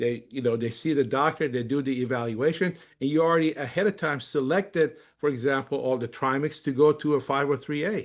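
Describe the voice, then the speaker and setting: Against a quiet background, a man with an unremarkable speaking voice talks at a moderate pace, with a fairly high pitch and ordinary pitch variation. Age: 60s. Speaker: company executive and webinar presenter. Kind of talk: webinar presentation. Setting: online webinar. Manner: casual, with frequent fillers.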